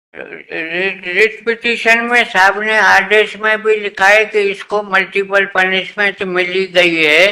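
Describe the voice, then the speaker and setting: With hardly any pauses, a man speaks at a high pitch in a raised, projected voice. There is noticeable background noise. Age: 80s+. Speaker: retired employee arguing own case in court. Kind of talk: court hearing argument.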